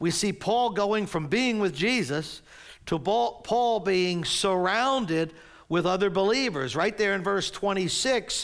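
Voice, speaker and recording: In a very clean recording with a silent background, a man talks in a high pitch with lively intonation. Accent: American. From New Jersey. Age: 60s. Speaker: pastor. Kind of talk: sermon. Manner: animated.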